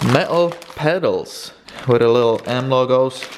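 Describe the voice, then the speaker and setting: A man with a Polish accent, ordinary pitch variation and audible room echo. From Poland. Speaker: car vlogger. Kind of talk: casual unboxing vlog.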